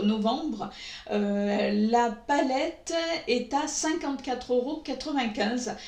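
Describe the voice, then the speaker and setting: Speaking very slowly at a high pitch with ordinary pitch variation and very even loudness, a woman is heard over noticeable background noise and audible room echo. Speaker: beauty YouTuber. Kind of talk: makeup review vlog. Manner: hesitant, many filler sounds.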